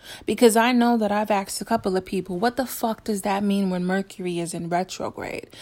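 Furious and animated, a woman speaks at a medium pitch and a fairly quick pace on a very clean recording with a silent background. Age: 40s. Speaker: podcast host. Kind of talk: angry rant. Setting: solo podcast, home recording. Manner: furious, profanity-laden, combative venting; animated, with bursts of laughter and backpedaling.

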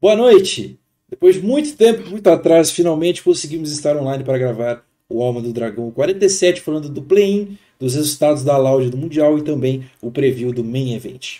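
Delivered at a moderate pace, the voice has a dark, mellow tone, lively intonation and big swings in loudness. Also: man, fairly high pitch for a man. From Brazil, Osasco (São Paulo area). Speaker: esports podcast host. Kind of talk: casual chat on a live stream. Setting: live stream recorded online.

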